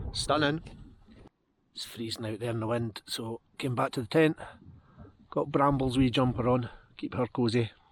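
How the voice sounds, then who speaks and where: A speaker with a Scottish accent talks at a fairly quick pace. The recording is very clean, with a silent background. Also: man. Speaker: outdoor vlogger. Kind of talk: vlog narration. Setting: outdoors on a mountain, in a tent.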